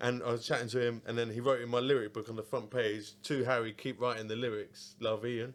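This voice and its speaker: Speaking in an Essex accent, the voice races along at a very fast pace. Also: man. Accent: southern English (Essex). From Essex, England. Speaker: podcast host. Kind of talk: casual chat.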